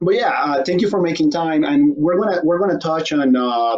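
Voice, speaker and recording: The man's intonation stays fairly even as he talks at a fairly quick pace. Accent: non-native. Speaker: talk show host. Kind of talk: casual interview.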